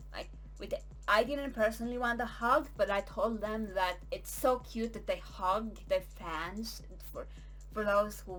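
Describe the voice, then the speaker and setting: A fairly slow pace over music in the background. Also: woman. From Norway. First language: Norwegian. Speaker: vlogger. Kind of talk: casual storytelling.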